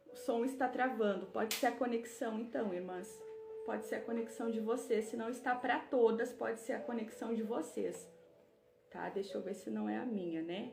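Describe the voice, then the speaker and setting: Noticeable background noise and audible room echo surround this recording. A woman speaks at a moderate pace, fairly high in pitch with ordinary variation. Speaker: women's Bible study leader. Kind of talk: live online book club teaching. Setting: livestream.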